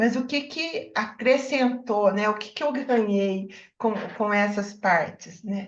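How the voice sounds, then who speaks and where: Very slow speech from a woman, fairly high in pitch, with ordinary pitch variation. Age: 70s. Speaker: book club member. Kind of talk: book club discussion. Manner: halting.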